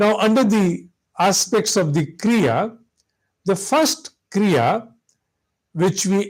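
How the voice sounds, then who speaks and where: Very slow, high-pitched male speech with lively intonation, on a very clean recording against a silent background. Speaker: spiritual teacher. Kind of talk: spiritual lecture.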